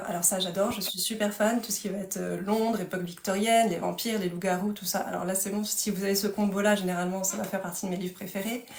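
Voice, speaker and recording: With audible room echo and noticeable background noise, a woman speaks at a medium pitch and a very fast pace with fairly even intonation. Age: 30s. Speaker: author. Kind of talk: casual chat. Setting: livestream.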